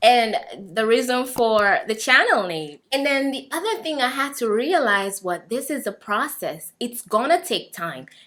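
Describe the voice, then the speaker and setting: In a very clean recording with a silent background, a woman with an East African accent speaks fairly slowly in a high-pitched voice with a bright, sharp tone. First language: Swahili. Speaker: vlogger. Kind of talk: personal testimony.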